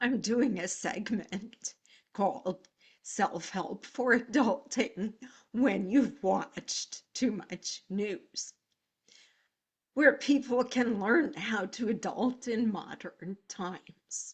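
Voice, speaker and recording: A somewhat breathy woman's voice at a very slow pace, fairly high in pitch with ordinary pitch variation. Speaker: counselor, speaker, comic. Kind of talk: casual talk to camera.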